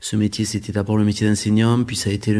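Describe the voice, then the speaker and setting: This man talks at a fairly low pitch with a dark, mellow tone. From France, Aveyron. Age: 40s. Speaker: local politician. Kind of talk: interview. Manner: halting, frequent hesitations and repetitions.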